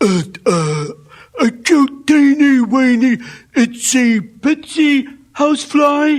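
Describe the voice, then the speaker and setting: Using a put-on character voice, a man talks very slowly at an extremely high pitch. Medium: read story. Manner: halting, stammering with many uh's.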